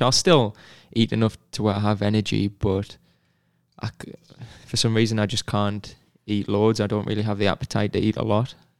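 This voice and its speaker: Recorded very cleanly with a silent background, a man with a Northeast English accent talks at a moderate pace in a dry, close sound with no echo. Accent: English (northeast), non-American. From northeast England, near Sunderland. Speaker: professional soccer player. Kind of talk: casual interview chat.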